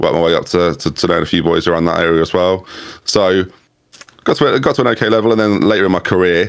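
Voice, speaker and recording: A man talks at a very fast pace in a very deep, low pitch. His loudness stays very even, with ordinary pitch variation. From England, Norfolk. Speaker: YouTube content creator. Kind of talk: casual interview chat.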